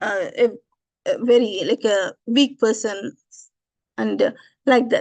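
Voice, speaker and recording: A woman speaks in a high pitch. Her pace is very slow. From India, Tamil Nadu. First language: Tamil. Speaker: religious teacher. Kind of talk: scripture lecture. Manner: halting, many fillers.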